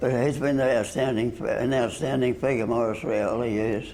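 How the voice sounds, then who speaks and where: Over noticeable background noise and audible room echo, a man speaks at a moderate pace with fairly even intonation and a medium pitch. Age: 90s. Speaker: missionary brother. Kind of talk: interview. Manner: halting.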